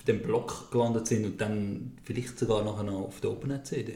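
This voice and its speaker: A man's dark, mellow, somewhat breathy voice with fairly even intonation and audible room echo. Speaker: podcast host. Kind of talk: casual chat.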